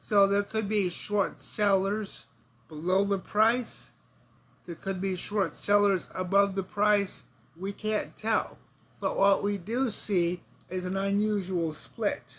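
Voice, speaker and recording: A man talks at a high pitch and a very slow pace. His intonation is monotone and flat. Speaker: forex trader. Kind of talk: market analysis screen-share narration.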